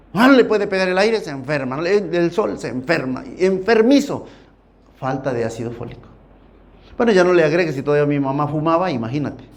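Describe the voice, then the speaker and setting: A man's fairly high voice with very wide pitch swings and an animated tone, a fairly quick pace cut by long, frequent pauses, and audible room echo. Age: 60s. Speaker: preacher. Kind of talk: sermon.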